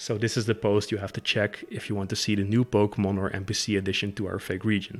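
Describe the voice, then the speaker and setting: Music plays in the background as a man speaks with a Dutch accent. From Netherlands. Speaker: fan game creator. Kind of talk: casual talk to camera. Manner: hesitant, many fillers.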